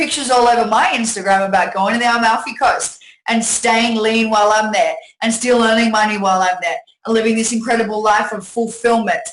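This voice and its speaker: A woman speaks with an Australian accent at a fairly high pitch. Her pace is fairly quick, and her pitch varies in an ordinary way. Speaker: network marketing presenter. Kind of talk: sales pitch webinar. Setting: webinar from home. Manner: animated.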